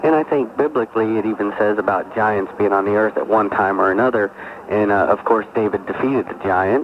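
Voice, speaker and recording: A man talks fairly quickly in a fairly low pitch, with ordinary pitch variation. Noticeable background noise can be heard. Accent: American. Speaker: caller, army veteran. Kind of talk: call-in radio conversation. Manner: halting.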